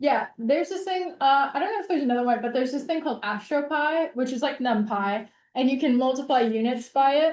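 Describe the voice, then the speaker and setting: A woman talks at a very fast pace with hardly any pauses. Her pitch is high, with ordinary pitch variation. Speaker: instructor. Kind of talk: lecture. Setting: video call.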